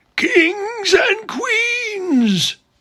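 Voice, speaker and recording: Pitched extremely high, the man's voice is a put-on character. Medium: read story. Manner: ringing, declamatory.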